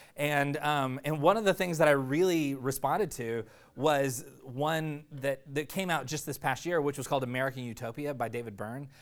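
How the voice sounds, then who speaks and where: A man talks at a moderate pace with hardly any pauses and ordinary pitch variation. The recording is very clean, with a silent background. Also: fairly high pitch for a man. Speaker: preacher. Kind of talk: sermon. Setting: church with live audience. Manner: halting, filler-heavy, casual.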